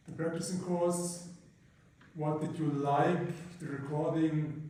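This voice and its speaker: A man at a fairly high pitch, very slow and monotone, flat in intonation, amid noticeable background noise and audible room echo. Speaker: university lecturer. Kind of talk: lecture. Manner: halting. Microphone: poor sound quality.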